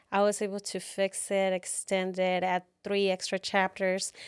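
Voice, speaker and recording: A woman with a Mexican accent talks at a medium pitch and a fairly slow pace. The recording is very clean with a silent background, and the sound is dry and close with no echo. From Tijuana, Mexico. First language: Spanish. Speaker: author and keynote speaker. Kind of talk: podcast interview.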